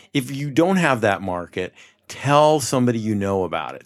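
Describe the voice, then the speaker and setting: With an American accent and a normal speaking voice, a man talks at a moderate pace with lively intonation. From New York, Mid-Hudson Valley. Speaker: company founder. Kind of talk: podcast interview. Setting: showroom studio.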